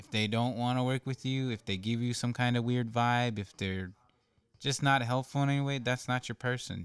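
A man with an American accent and a plain, everyday voice, medium in pitch, at a moderate pace, in a dry, close sound with no echo. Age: 20s. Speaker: former student, community college returnee. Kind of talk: casual interview.

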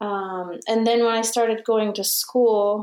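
A dark, mellow voice with a Romanian accent comes through on a very clean recording with a silent background. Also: woman. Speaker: musician and documentary filmmaker. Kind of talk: interview.

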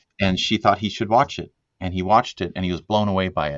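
Talking at a very fast pace, a man with a very deep, low voice shows ordinary pitch variation. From Sweden. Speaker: film director and music producer. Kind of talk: interview, casual conversation. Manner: relaxed, with many filler words.

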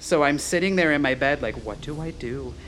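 A man with a plain, everyday voice speaks with ordinary pitch variation. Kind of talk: casual chat.

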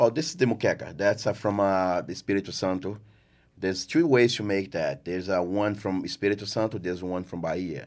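A man speaks at a fairly low pitch with a Portuguese accent. His pitch varies in an ordinary way. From Brazil, rural farm. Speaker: chef and restaurant owner. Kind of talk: casual interview.

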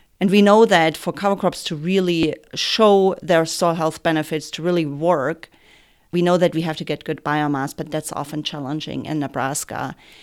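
A woman with a German accent speaks at a fairly low pitch and a moderate pace. The recording is very clean, with a silent background. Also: fairly even intonation. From Germany. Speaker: soil health extension educator. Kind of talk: interview.

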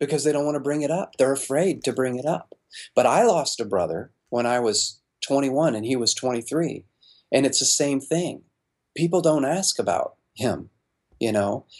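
At a moderate pace, a man talks with lively intonation in an ordinary speaking voice. His pitch is fairly high. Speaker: pastor and author. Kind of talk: interview. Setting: studio.

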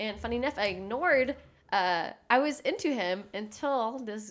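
A woman with an American accent talks at a fairly slow pace, with ordinary pitch variation and an ordinary speaking voice. The recording is very clean, with a silent background. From Texas. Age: 20s. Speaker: podcast co-host. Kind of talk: casual chat.

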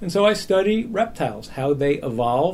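The man's delivery is somewhat breathy, moving at a moderate pace with lively intonation. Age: 50s. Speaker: evolutionary biology professor. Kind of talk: interview.

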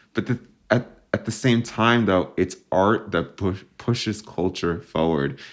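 A man speaks fairly slowly in a plain, everyday voice, his fairly low pitch showing ordinary variation. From New Jersey, US (suburbs near New York City). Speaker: filmmaker and intersex activist. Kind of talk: interview.

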